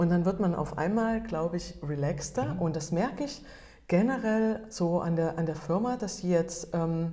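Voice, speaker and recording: Amid audible room echo, a woman with a fairly low pitch and a dark, mellow, somewhat breathy tone speaks at a moderate pace. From Germany. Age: 40s. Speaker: photographer and entrepreneur. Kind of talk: interview. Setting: meeting room. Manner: halting.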